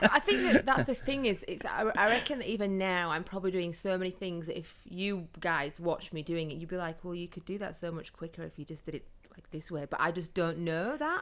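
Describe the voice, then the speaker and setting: With a Yorkshire accent, a woman talks at a fairly quick pace with hardly any pauses and lively intonation, recorded very cleanly against a silent background. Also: fairly low pitch for a woman, big swings in loudness. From northern England, Yorkshire (Huddersfield). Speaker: photographer and social media business owner. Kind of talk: casual chat.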